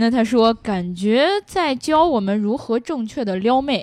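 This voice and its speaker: An animated woman's voice, fairly high in pitch with lively intonation, over a quiet background. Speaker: car podcast co-host. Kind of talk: casual chat about cars. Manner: joking, animated.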